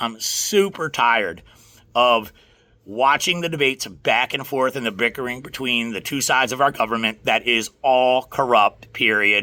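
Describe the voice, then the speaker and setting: A man uses a raspy, put-on character voice at a medium pitch with ordinary pitch variation and a moderate pace. The recording is very clean, with a silent background. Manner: exasperated, venting.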